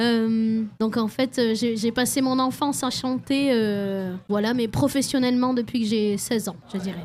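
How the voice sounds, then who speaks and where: Her pitch sits fairly high, and her intonation stays fairly even. The woman talks at a fairly slow pace with hardly any pauses. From French Basque Country. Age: 20s. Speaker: singer-songwriter. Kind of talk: radio interview. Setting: radio studio at a festival.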